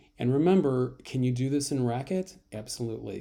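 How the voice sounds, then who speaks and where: A man talks at a very fast pace in a dark, mellow tone, with a medium pitch and ordinary pitch variation. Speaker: college math instructor. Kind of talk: tutorial. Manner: casual, filler-heavy.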